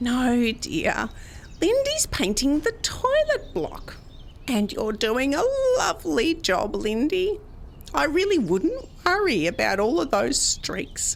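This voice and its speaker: A woman uses a put-on character voice at a fairly slow pace, her loudness very even over clear background noise. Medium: audio drama. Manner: sweet, condescending.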